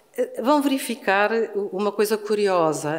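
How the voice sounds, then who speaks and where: With a Lisbon accent, a woman speaks at a medium pitch and a very slow pace. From Portugal, Lisbon. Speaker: law professor. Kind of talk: conference panel talk. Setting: university hall with audience. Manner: deliberately slow.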